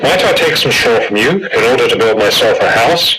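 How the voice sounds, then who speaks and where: A man speaks at a fairly quick pace in a put-on character voice, with clear background noise behind him. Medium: read story.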